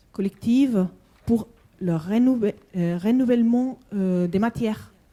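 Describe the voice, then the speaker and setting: With a Spanish accent, a woman speaks in a dark, mellow tone with ordinary pitch variation. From Spanish-speaking country. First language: Spanish (speaking French). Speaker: conference participant. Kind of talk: panel discussion. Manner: halting.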